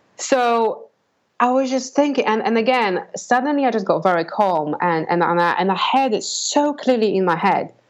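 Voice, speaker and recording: High-pitched woman's voice in a Polish accent, with lively intonation, very even loudness and a moderate pace. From Poland. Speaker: business owner and coach. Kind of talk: interview.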